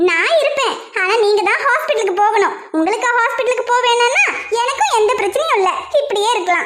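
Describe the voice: A female-sounding voice does a cartoonish character at an extremely high pitch and a moderate pace. Audible echo surrounds it.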